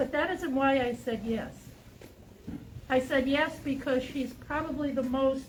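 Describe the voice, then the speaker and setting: A high-pitched woman's voice at a moderate pace, with audible room echo. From New England. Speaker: campaign chair. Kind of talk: campaign speech. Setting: outdoors in cold with audience.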